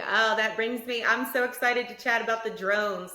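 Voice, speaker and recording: With a Southern US accent, a woman speaks in an enthusiastic tone, fairly high in pitch and at a moderate pace. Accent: Southern US twang. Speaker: podcast host. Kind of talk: casual interview.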